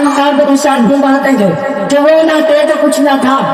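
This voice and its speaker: A man with an extremely high pitch, a passionate tone and fairly even intonation, over noticeable background noise. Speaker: Islamic preacher giving a sermon. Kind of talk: religious sermon (bayan) delivered to an audience. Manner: passionate, rhetorical, preacher's oratory.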